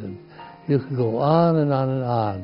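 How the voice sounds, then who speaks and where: Music plays in the background as a man speaks. His pitch is medium, with ordinary pitch variation. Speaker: camp founding father. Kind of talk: reminiscing talk about history.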